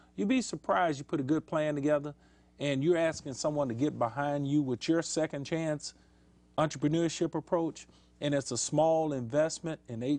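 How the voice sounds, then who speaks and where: A man's fairly high-pitched, plain, everyday voice at a fairly quick pace, with ordinary pitch variation against a quiet background. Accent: American. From Houston, Texas. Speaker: city council candidate. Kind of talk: talk show interview. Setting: studio.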